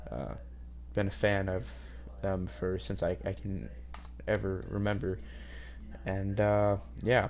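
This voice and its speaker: A man with an American accent and a very deep, low pitch, at a fairly slow pace with very wide pitch swings, long and frequent pauses, and audible room echo. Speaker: podcast host. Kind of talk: casual monologue podcast. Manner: quiet, hushed; hesitant, many fillers.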